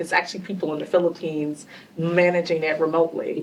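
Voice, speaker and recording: A woman with a Southern US accent talks at a fairly quick pace and fairly low pitch. Noticeable background noise runs underneath. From US South. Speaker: panelist, tech industry leader. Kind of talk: panel discussion.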